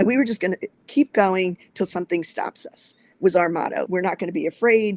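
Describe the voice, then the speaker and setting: A woman talks at a fairly quick pace in a medium pitch with ordinary pitch variation. The sound is dry and close, with no echo. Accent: Philadelphia. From New Jersey, outside Philadelphia. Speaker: short-term rental investor. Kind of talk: interview.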